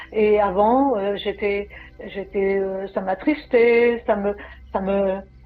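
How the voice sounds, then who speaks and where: Speaking very slowly, a woman uses a medium pitch. Her intonation stays fairly even. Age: 60s. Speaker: program client. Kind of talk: testimony. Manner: halting.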